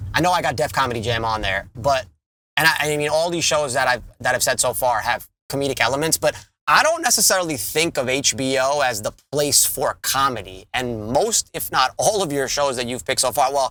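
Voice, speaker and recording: Talking at a fairly quick pace, a man with a New York accent uses a bright, sharp tone and a fairly high pitch. His pitch varies in an ordinary way. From Long Island, New York. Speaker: podcast co-host. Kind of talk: casual chat.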